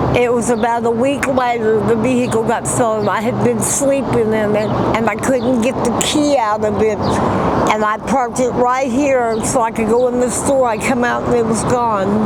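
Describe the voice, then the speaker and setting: Against noticeable background noise and audible room echo, a woman speaks at a fairly high pitch in a monotone, flat intonation with very even loudness. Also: moderate pace. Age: 60s. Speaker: homeless woman interviewed on the street. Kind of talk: street interview testimony. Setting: outdoors in a parking lot.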